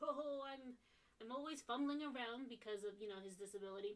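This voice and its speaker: In a cartoonish character voice, a woman speaks high and at a fairly quick pace. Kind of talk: comic cartoon voice. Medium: game stream. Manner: jolly, fumbling.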